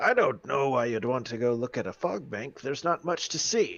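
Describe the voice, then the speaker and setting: A man puts on a raspy character voice at medium pitch, talking at a moderate pace with lively intonation. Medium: actual play. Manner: casual, unbothered.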